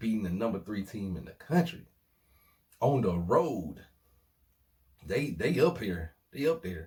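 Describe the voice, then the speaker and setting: A man with a fairly low pitch speaks in an animated tone, fairly slowly, with long, frequent pauses. His voice is somewhat breathy, with very wide pitch swings and big swings in loudness. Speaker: sports vlogger. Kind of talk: casual sports commentary vlog.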